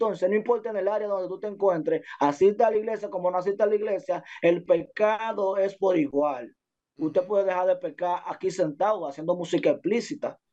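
Pitched high with a dark, mellow tone, a man talks at a fairly quick pace with ordinary pitch variation. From Dominican Republic, Santo Domingo barrio. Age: 20s. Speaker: music producer and urban artist. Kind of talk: casual interview.

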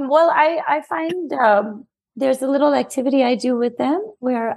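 This woman speaks with an American accent in a high pitch. Her pace is fairly slow, with ordinary pitch variation. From New York City. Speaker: children's book author. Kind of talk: interview.

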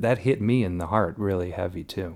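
In an American accent, a man speaks at a fairly low pitch and moderate pace in an unremarkable speaking voice. The recording is very clean, with a silent background. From Elmhurst, Illinois, US Midwest. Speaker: film producer and cinematographer. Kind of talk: casual interview chat.

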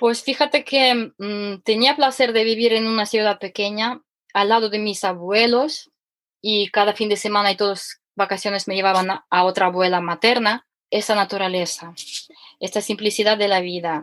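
A woman with a Ukrainian accent, medium pitch, ordinary pitch variation and a moderate pace. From Ukraine. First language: Ukrainian or Russian (speaking Spanish). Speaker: economist and former cooking teacher. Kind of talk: casual interview. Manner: animated; halting.

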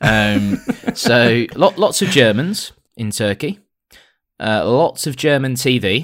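A very slow, medium-pitched male voice in a British accent, very wide pitch swings, long, frequent pauses, and a very clean recording with a silent background. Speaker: podcast co-host. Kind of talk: casual chat.

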